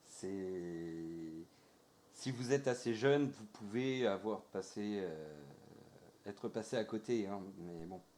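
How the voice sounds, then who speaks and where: A man's fairly low, dark, mellow voice at a very slow pace, with long, frequent pauses, big swings in loudness and ordinary pitch variation. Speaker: let's play gamer. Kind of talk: gameplay commentary. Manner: hesitant, many filler sounds.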